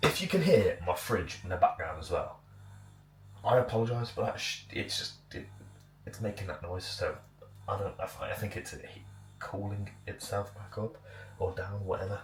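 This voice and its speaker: At a moderate pace, a man speaks with big swings in loudness and long, frequent pauses over noticeable background noise. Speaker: bodybuilding vlogger. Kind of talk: casual vlog. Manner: casual, filler-heavy.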